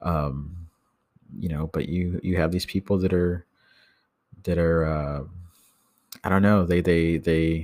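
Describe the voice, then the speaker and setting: In a very clean recording with a silent background, a man with an American accent speaks at a fairly slow pace in a very deep, low pitch with monotone, flat intonation. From Texas. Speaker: podcast host. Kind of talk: casual solo monologue. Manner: hesitant, many fillers and repetitions.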